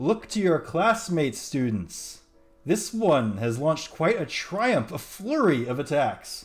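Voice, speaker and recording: A man bellows in a booming, put-on character voice, his fairly high pitch swinging very widely at a fairly slow pace. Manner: bellowing, booming.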